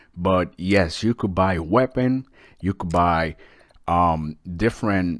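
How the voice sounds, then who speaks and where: A man with a non-native accent talks fairly slowly and with lively intonation at a very deep, low pitch, in a dry, close recording with no echo. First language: not English. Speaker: gaming YouTuber. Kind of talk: game review. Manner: casual, with fillers.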